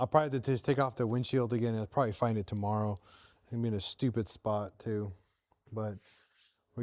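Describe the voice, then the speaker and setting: A man is speaking. He goes at a very fast pace. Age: 40s. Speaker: motorcycle vlogger. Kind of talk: live stream tutorial. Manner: casual, hesitant with fillers.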